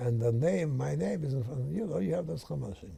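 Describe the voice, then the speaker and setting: At a moderate pace, a man with a medium pitch and a dark, mellow, somewhat breathy tone lets his pitch swing very widely. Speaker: rabbi. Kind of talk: interview answer.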